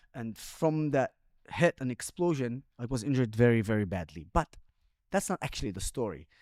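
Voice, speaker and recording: In a dry, close sound with no echo, a man with an Arabic accent speaks at a moderate pace. His pitch is medium but swings very widely. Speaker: social media influencer and former army commander. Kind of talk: interview conversation. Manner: animated.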